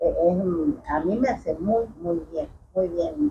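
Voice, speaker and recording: Somewhat breathy, the woman's voice is heard. Its tone is dark and mellow. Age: 60s. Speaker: chiropractic patient. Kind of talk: testimony. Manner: halting.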